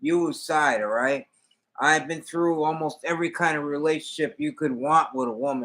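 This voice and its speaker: A bright, sharp male voice, fairly high in pitch, at a moderate pace with ordinary pitch variation. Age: 60s. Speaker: hobby livestreamer. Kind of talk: casual chat. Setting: livestream.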